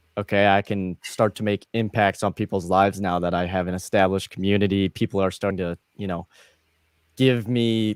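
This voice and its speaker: A man with an American accent talks fairly quickly at a fairly low pitch in a flat monotone. The sound is dry and close with no echo, a very clean recording with a silent background. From US Midwest. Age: 20s. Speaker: gamer and streamer. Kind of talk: interview.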